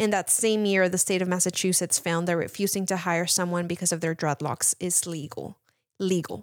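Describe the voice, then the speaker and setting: With a Spanish accent, a woman with a fairly low pitch speaks at a moderate pace and fairly even intonation, the sound dry and close with no echo. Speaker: mental health counselor. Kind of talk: casual chat.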